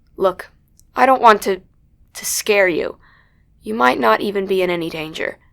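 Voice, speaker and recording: On a very clean recording with a silent background, a woman does a put-on character voice that is raspy and medium in pitch. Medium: audio drama. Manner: guarded, controlled.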